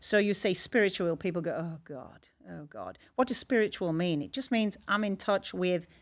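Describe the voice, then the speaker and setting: A very clean recording with a silent background captures speech with ordinary pitch variation. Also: woman. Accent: English. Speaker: energy healer. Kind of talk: podcast interview. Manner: animated.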